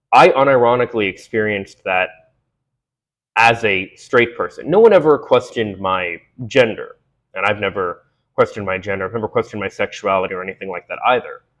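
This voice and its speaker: Against a quiet background, a man talks at a fairly quick pace with big swings in loudness. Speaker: video essayist. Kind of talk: monologue to camera. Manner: conversational, many fillers.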